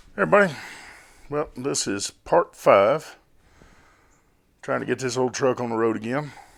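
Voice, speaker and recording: At a moderate pace, a man speaks at medium pitch with lively intonation and vocal fry. Long, frequent pauses break up his speech. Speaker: car restoration youtuber. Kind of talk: casual tutorial. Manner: halting, many fillers.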